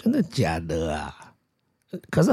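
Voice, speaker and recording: A man with a dark, mellow tone talks with very wide pitch swings. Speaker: podcast host, parent interviewing child. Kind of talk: casual chat. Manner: animated.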